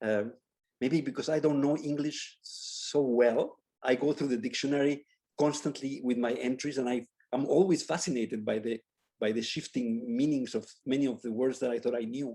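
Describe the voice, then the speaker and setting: The tone is dark and mellow. Intonation stays fairly even at a moderate pace. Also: man, medium pitch for a man. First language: Spanish. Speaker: architecture professor. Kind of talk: Q&A after a lecture. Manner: halting, with many repetitions.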